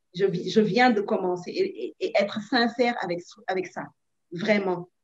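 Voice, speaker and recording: Using an ordinary speaking voice, a woman talks at a fairly slow pace with ordinary pitch variation. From Senegal. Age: young. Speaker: actress and producer. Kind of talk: interview, giving advice.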